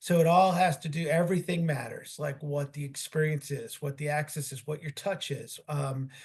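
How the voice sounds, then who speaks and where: Here a man speaks at a fairly high pitch, somewhat breathy. His intonation stays fairly even. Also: hardly any pauses. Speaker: sports team executive. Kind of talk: interview. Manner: fast.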